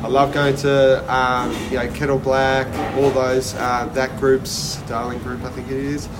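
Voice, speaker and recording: In an Australian accent, a man talks at a fairly slow pace with a medium pitch and monotone, flat intonation. Noticeable background noise and audible room echo surround him. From Australia (Sydney and Melbourne). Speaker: chef. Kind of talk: casual interview. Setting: restaurant.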